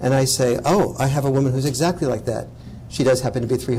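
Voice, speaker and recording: Audible room echo carries a voice with an American accent delivered at a fairly quick pace. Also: man. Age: old. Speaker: author and speaker. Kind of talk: lecture Q&A. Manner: animated.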